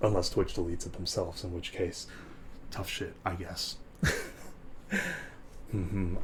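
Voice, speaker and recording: A man whispers, somewhat breathy. He leaves long, frequent pauses. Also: moderate pace. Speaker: live streamer. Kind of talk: ASMR live stream talk. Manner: whispered.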